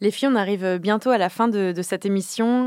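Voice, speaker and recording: In a very clean recording with a silent background and a dry, close sound with no echo, a woman with an unremarkable speaking voice talks at a moderate pace, medium pitch and ordinary pitch variation. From Normandy, France. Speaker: podcast host, community manager. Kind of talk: casual chat.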